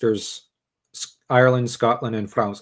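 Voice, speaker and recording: The delivery holds a moderate pace and fairly even intonation. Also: man. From Canada. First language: French. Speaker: podcast host. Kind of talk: casual chat. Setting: live stream.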